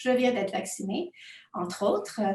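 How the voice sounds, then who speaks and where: A woman speaks at a moderate pace. She has a non-native accent. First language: not French (speaking French). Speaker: university researcher. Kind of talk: academic conference presentation. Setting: home office, remote conference. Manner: hesitant, many fillers.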